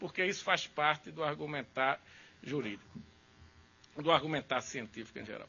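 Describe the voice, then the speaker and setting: Speaking at a moderate pace with long, frequent pauses, a man uses a fairly high pitch, ordinary pitch variation and vocal fry. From Brazil, Recife. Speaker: law professor. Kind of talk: lecture.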